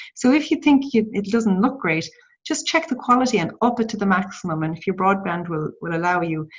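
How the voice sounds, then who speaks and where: Very fast, somewhat breathy speech from a woman at medium pitch, with very wide pitch swings. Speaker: social media trainer. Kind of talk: tutorial. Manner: halting.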